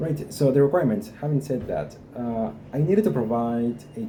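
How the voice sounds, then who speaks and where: Someone with a Guatemalan accent talks at a moderate pace, with audible room echo. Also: man. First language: Spanish. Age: 20s. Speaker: vlogger. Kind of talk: personal experience vlog. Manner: halting, many fillers.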